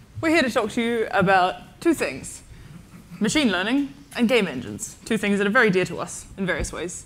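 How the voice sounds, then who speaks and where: A woman with an Australian accent talks at a fairly quick pace, her pitch swinging very widely. Vocal fry runs through her speech. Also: medium pitch for a woman. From Tasmania, Australia. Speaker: AI and data science researcher, conference speaker. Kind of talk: conference talk. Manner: fast.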